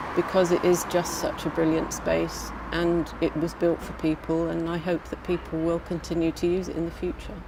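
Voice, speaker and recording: Her delivery is monotone and flat, with hardly any pauses, in a southern English accent. The woman's pitch sits fairly low, and there is noticeable background noise. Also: moderate pace. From England, Brighton. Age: 60. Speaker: community campaigner. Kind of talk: documentary interview.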